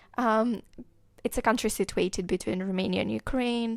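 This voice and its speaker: In a very clean recording with a silent background, a woman with a Moldovan accent talks with fairly even intonation. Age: 20s. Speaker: podcast host. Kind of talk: podcast monologue. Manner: hesitant, many fillers.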